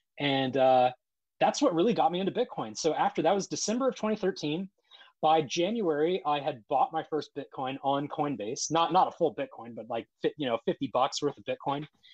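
Recorded with a dry, close sound and no echo, a man speaks at a moderate pace with a fairly high pitch and lively intonation. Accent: Midwestern American. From Ohio, US Midwest (Columbus). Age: 30s. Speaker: Bitcoin advocate and cybersecurity worker. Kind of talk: casual interview. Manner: halting, repeats words.

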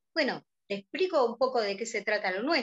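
With a Rioplatense accent, a woman speaks at a moderate pace and a fairly high pitch. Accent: Argentine Spanish (rioplatense). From Argentina. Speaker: business director of an online fashion platform. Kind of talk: interview.

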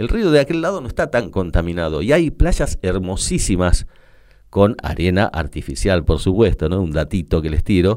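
Over a silent background in a very clean recording, a man with a Rioplatense accent speaks at a moderate pace, his very deep, low voice carrying lively intonation. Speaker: radio host. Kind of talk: radio monologue.

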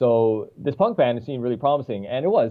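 In a Newfoundland accent, a man speaks at a medium pitch. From Newfoundland, Canada. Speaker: musician. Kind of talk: casual interview. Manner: chatty.

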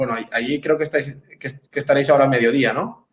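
Here a man has a fairly high pitch and ordinary pitch variation. He speaks at a very fast pace. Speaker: teacher. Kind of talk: casual chat.

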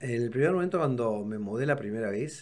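The man has a normal speaking voice at a medium pitch. He talks at a fairly quick pace with lively intonation. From Córdoba, Argentina. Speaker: architect and art collector. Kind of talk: casual chat.

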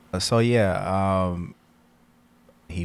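A man talks in an American accent, his pitch varying in an ordinary way. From Elkhart, Indiana, US Midwest. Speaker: podcast co-host. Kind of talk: casual chat.

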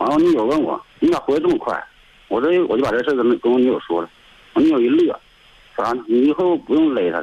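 Delivered at a very fast pace, the voice has big swings in loudness. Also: man. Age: 30s. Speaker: caller. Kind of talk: phone-in call. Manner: halting, repetitive.

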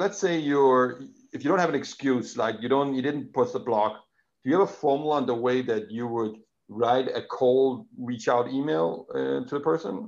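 A man's medium-pitched voice in a Danish accent, with lively intonation at a moderate pace. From Denmark. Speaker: podcast host. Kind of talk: interview. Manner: halting.

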